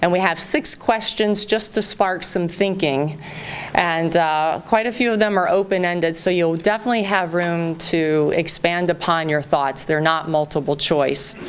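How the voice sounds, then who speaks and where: With a slight Southern US accent, a woman speaks at a fairly low pitch with ordinary pitch variation over noticeable background noise. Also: moderate pace, very even loudness. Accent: slight Southern twang at times. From US South, Southern Virginia. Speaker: real estate company representative. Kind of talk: public town hall address. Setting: town hall meeting with large audience. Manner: warm, informal with fillers.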